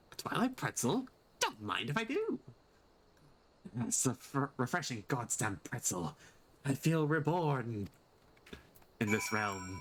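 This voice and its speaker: Putting on a character voice, a man speaks fairly slowly at medium pitch with very wide pitch swings, very even loudness and long, frequent pauses. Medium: game stream.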